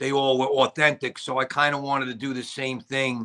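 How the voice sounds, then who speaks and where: A man speaks in a strong Brooklyn accent with a bright, sharp tone. The background is quiet. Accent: strong Brooklyn New York. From New York. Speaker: actor and director. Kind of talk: casual interview chat. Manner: halting, many fillers. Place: home room. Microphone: video call.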